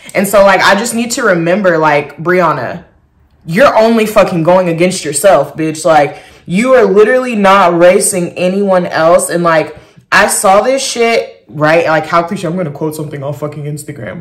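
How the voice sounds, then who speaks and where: Animated in tone, a woman with a fairly low pitch speaks with lively intonation amid audible room echo. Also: moderate pace. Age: 20s. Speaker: vlogger. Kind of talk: casual chat.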